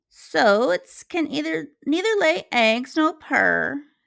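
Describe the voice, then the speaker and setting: In a very clean recording with a silent background, a woman uses a put-on character voice, high-pitched and delivered at a very slow pace. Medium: read story. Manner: prim, scolding.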